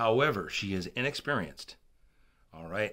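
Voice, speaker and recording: This man's voice has a bright, sharp tone on a very clean recording with a silent background. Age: 60s. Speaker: political video blogger. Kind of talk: political commentary monologue. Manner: halting, with repetitions and fillers.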